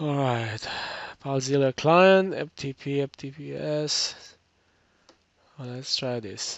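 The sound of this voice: Slow and with vocal fry, a man speaks at a medium pitch with ordinary pitch variation.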